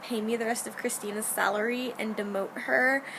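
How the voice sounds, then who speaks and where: A woman's voice is heard. Background noise is noticeable throughout. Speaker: video blogger, theatre stage manager. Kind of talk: casual video diary. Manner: animated.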